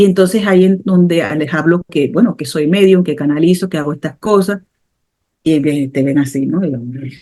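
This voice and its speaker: A woman's fairly low, dark, mellow voice at a moderate pace, with ordinary pitch variation. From Panama, Caribbean coast (Colón). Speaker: medium and spiritual therapist. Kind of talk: interview conversation.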